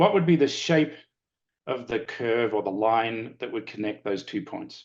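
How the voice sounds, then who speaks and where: Speaking in an Australian accent, a man keeps a medium pitch. His pace is fairly slow and his intonation lively. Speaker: lecturer and former consultant. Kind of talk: webinar presentation.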